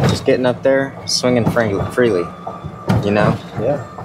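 Loud background noise runs behind the speech. A man talks at a fairly quick pace. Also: dry sound with no echo. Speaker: golfer vlogger. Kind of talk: casual vlog chat. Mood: reflective about his swing. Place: open country. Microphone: phone near.

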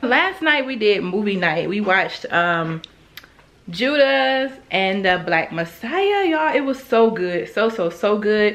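Speaking slowly, a woman uses a medium pitch and a fairly bright tone with big pitch swings.

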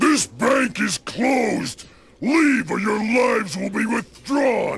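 Shouting in a put-on character voice, the speaker bellows raspily with a menacing tone at a fairly slow pace. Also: man, extremely high pitch for a man. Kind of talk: sardonic threat. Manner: bellowing, menacing.

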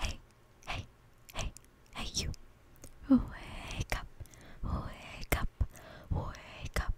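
Long pauses come often as a woman talks. She is whispering. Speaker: ASMR creator. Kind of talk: ASMR talk to camera. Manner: soft, whispered. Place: home room. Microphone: studio mic.

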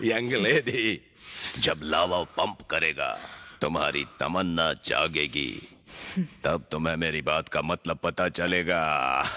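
Delivery is very slow, with very even loudness. Pitch varies in an ordinary way. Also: man, very deep, low pitch for a man. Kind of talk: Hindi film dubbing. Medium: fan dub. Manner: playful, leering, rambling.

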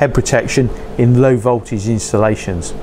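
Over light background noise, a man talks at a fairly slow pace with fairly even intonation. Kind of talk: tutorial. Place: workshop.

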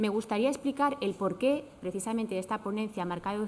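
A woman speaks at a medium pitch. Her tone is slightly mellow.

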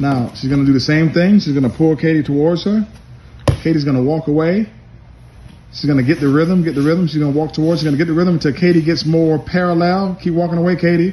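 A man talks at a very fast pace with very even loudness and fairly even intonation over light background noise. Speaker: judo coach narrating a demonstration. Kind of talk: instructional commentary. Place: gym. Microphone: phone near.

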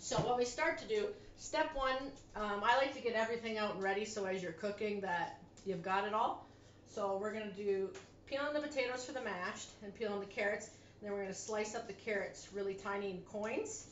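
Spoken at a fairly quick pace with ordinary pitch variation, the clip has audible room echo and light background noise. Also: woman. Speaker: home cooking vlogger. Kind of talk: casual cooking tutorial chat. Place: kitchen. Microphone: camera far.

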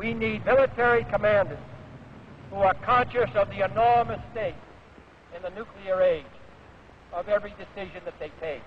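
Speaking with an American accent, a man uses a high pitch with ordinary pitch variation at a moderate pace. He leaves long, frequent pauses over light background noise. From United States. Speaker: US president. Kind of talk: formal political speech to a graduating class. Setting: outdoor stadium, historical recording. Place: stadium. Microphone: podium.

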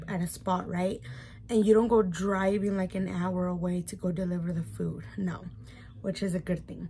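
A woman with an American accent speaks at a moderate pace in a dark, mellow tone. Her voice is somewhat breathy over light background noise. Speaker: YouTuber, mom; YouTuber. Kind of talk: mukbang vlog, casual eating chat. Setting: at home. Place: home room. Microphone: phone near.

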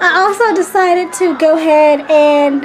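A woman's high-pitched voice with fairly even intonation over light background noise. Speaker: pregnant mom vlogger. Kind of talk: casual vlog chat. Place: kitchen. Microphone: phone near.

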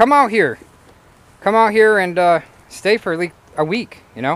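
A man's voice is heard in a dry sound with no echo. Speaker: vlogger. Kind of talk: casual vlog chat. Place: open country. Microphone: phone near.

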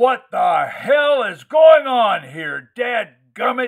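Bellowing in a put-on character voice, a man speaks very slowly at an extremely high pitch with very wide pitch swings. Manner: roaring, booming, angry.

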